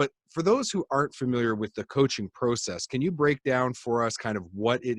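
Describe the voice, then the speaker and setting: A man talks at a moderate pace with a Canadian accent and ordinary pitch variation, in an ordinary speaking voice. The sound is dry and close, with no echo. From Canada. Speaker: podcast host. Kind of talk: interview.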